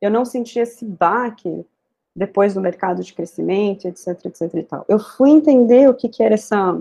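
A woman with a São Paulo accent speaks at medium pitch and a moderate pace, her pitch varying in an ordinary way. Her tone is dark and mellow, the sound dry and close with no echo. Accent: Brazilian Portuguese, São Paulo. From Brazil, São Paulo. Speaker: software tech lead. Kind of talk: interview conversation.

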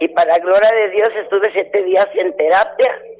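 Over noticeable background noise, a woman talks at a fairly slow pace in a medium pitch. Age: 70s. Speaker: caller, mission sponsor. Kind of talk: phone-in chat.

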